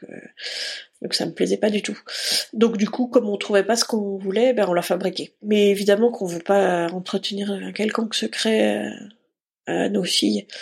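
The voice has vocal fry and fairly even intonation. Long pauses come often. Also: woman, medium pitch for a woman, moderate pace. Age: 40s. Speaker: production manager in live entertainment. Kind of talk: personal testimony interview. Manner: hesitant, many fillers.

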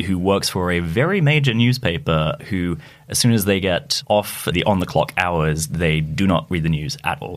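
A man with a very deep, low pitch talks at a moderate pace with lively intonation amid noticeable background noise. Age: 20s. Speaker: reporter. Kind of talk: casual chat. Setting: studio.

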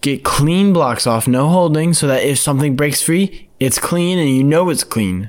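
With lively intonation, a man speaks at a moderate pace. He has an ordinary speaking voice with a fairly high pitch. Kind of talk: casual sports talk.

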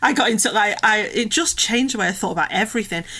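A woman's fairly high voice at a very fast pace, with noticeable background noise. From English Midlands mining village. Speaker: author and campaigner. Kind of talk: casual interview chat.

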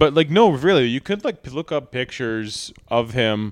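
Over a very clean recording with a silent background, a man speaks in an unremarkable speaking voice at medium pitch. His pace is fairly slow, his intonation lively. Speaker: podcast host. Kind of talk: casual banter. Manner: joking, crude humor.

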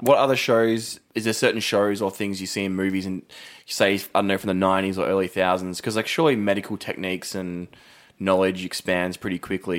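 In an Australian accent, a man talks at a fairly quick pace with a very deep, low pitch and fairly even intonation, in a very clean recording with a silent background. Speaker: podcast co-host. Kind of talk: casual chat. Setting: studio.

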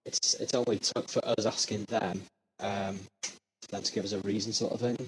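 A man speaks at a moderate pace in a fairly low, somewhat breathy voice with flat, monotone intonation. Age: 20s. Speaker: supporter interviewed. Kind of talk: casual interview.

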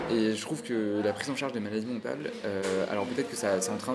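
A man speaks at a fairly quick pace and a medium pitch, with noticeable background noise and audible room echo. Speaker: podcast host. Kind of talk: casual interview. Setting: café.

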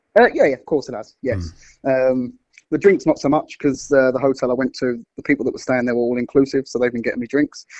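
A man speaks very fast at a medium pitch, with ordinary pitch variation and a London accent. The sound is dry and close, with no echo. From London (Wimbledon). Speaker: football fan. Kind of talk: casual chat.

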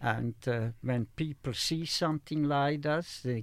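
Against a silent background, the recording is very clean. A man with a fairly high pitch talks at a very slow pace with ordinary pitch variation. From Slovakia. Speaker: Holocaust survivor. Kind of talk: testimony. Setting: studio. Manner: halting.

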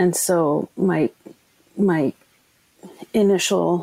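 A woman speaks in a Canadian Arctic accent. Her pitch is fairly low. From Nunavut, Canadian Arctic (Iqaluit). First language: Inuktitut. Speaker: documentary filmmaker. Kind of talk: interview. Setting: remote from home.

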